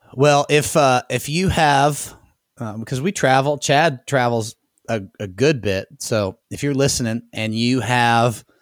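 A man's normal speaking voice, a normal speaking voice, fairly slow, with ordinary pitch variation and a dry, close sound with no echo. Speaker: podcast host. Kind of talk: casual podcast interview. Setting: studio, recorded remotely.

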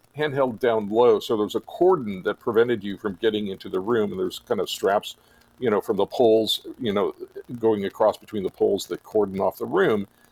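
Recorded with a dry, close sound and no echo, a man in a normal speaking voice talks at a fairly quick pace with lively intonation. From US, Napa Valley, California. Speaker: molecular biologist and photographer. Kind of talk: casual interview.

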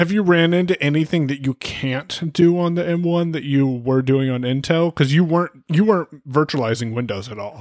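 A man has an ordinary speaking voice with ordinary pitch variation. The pace is moderate, and the sound is dry and close with no echo. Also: fairly high pitch for a man, hardly any pauses. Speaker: podcast co-host. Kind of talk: casual chat about tech.

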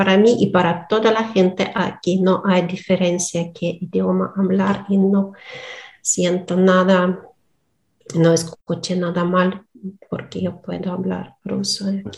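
A woman with a Russian accent speaks very slowly in a somewhat breathy, medium-pitched voice with monotone, flat intonation. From Donetsk, eastern Ukraine. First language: Russian (speaking Spanish). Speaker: Spanish learner, philologist. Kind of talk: interview. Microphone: poor sound at times.

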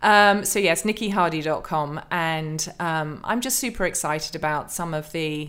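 A woman in an English accent talks at a fairly slow pace with a fairly low pitch and ordinary pitch variation on a very clean recording with a silent background. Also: hardly any pauses. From England. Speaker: author and pastor. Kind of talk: interview.

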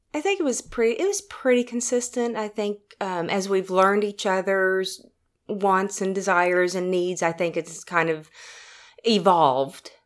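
Here a woman talks at a fairly slow pace with an Oklahoma accent. Her pitch is medium, with ordinary variation. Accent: Oklahoma Southern US. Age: 50s. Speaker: salesperson. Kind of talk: casual interview. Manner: halting.

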